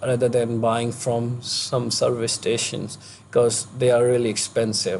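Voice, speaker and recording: Somewhat breathy delivery with an Indian accent. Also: man. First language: not English. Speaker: vlogger, international student. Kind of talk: vlog tutorial. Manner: halting, many fillers.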